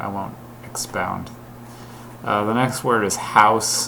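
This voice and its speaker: A man's voice with noticeable background noise behind it. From Ontario, Canada. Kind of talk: casual talk to camera.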